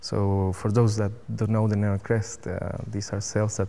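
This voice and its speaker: Speaking with a Spanish accent, a man has a fairly low pitch and a dark, mellow tone at a moderate pace. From Chile. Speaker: cell biologist. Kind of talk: interview. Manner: halting.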